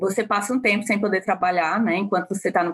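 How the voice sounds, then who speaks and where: The woman's pitch is medium and her intonation fairly even. Her voice comes through in a dry, close sound with no echo. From Ceará, Brazil. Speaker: marketing manager, former nurse. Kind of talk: interview. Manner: halting.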